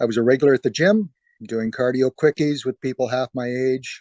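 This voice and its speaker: A man's medium-pitched voice with a Canadian accent, moderate pace and fairly even intonation, dry and close with no echo, over a quiet background. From northern Manitoba, Canada. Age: 60s. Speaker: cancer patient. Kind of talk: testimony. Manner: halting, with frequent fillers.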